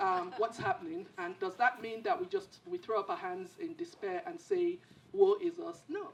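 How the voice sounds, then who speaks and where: A woman speaks at a high pitch with very wide pitch swings. Noticeable background noise is present. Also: moderate pace. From Nigeria. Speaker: panelist, former government minister. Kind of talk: panel discussion. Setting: theater with audience. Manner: halting.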